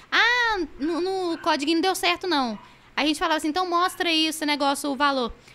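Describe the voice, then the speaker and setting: A woman's raised, projected voice at an extremely high pitch, with ordinary pitch variation and a fairly quick pace, amid noticeable background noise. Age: 20s. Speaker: gaming streamer. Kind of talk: casual chat.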